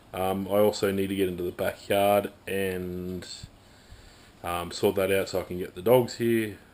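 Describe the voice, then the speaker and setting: In an Australian accent, a man with a fairly low pitch speaks at a moderate pace, his intonation monotone and flat. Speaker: amateur hill climb racer. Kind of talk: casual talk to camera.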